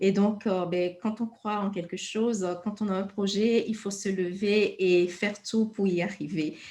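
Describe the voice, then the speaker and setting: A woman's somewhat breathy, dark and mellow voice at medium pitch, fairly slow and monotone. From Togo. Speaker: interviewer. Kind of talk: interview.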